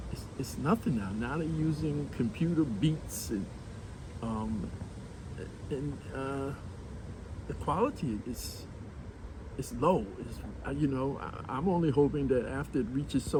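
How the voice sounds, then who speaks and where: A man talks at a fairly slow pace with long, frequent pauses, his medium-pitched voice carrying lively intonation. Audible room echo surrounds him. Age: 70s. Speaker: community elder guest. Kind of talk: casual interview. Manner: halting, many repetitions.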